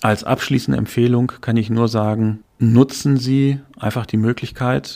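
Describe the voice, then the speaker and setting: A man's dark, mellow voice at medium pitch and a fairly slow pace. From western Germany, Dortmund (Ruhr area). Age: 30s. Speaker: franchise executive. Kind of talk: interview.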